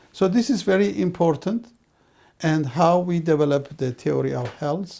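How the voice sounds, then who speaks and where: The voice carries a dark, mellow tone and moves at a moderate pace. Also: man, high pitch for a man, lively intonation. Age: 60s. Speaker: professor. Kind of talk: lecture.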